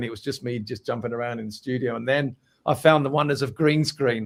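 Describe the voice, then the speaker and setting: Speaking at a fairly quick pace, a man has a London accent. His intonation stays fairly even. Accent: London accent, drops T's. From Essex, England. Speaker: musician. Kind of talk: interview.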